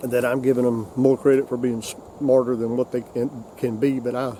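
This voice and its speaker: With a South Carolina accent, a man talks at a moderate pace and medium pitch in a monotone, flat intonation over noticeable background noise. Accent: Southern US (South Carolina). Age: 60s. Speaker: hunting video host. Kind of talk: casual instructional talk. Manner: halting, many repetitions.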